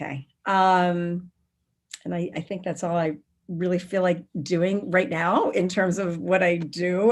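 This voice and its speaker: Her pitch is fairly low, and a woman speaks in a normal speaking voice. Her intonation stays fairly even. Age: 60s. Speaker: spiritual teacher and workshop founder. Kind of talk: interview.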